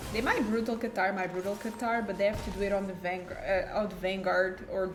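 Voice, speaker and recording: Someone with a non-native accent talks at a fairly quick pace amid noticeable background noise and audible room echo. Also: woman. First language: not English. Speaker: gaming YouTuber. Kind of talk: gameplay commentary. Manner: casual, thinking aloud.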